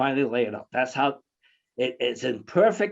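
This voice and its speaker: A plain, everyday voice from a man at medium pitch, moderate in pace, with lively intonation and a quiet background. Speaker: conference speaker, scholar. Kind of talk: conference presentation. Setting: online video conference.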